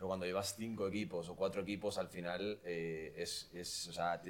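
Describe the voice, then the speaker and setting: A man with an ordinary speaking voice, fairly low pitch and a fairly quick pace. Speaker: podcast host. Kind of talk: casual chat.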